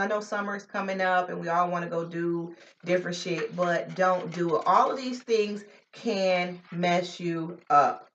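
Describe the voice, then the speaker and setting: This woman has an American accent. Her pitch is medium. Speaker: vlogger. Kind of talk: casual vlog talk. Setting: at home. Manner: energetic.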